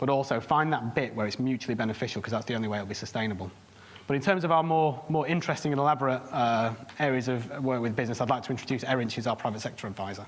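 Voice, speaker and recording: A man's medium-pitched voice with a Lancashire accent, very fast pace, ordinary pitch variation and audible room echo. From northern England, Bolton. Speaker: charity private sector worker. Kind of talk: conference presentation.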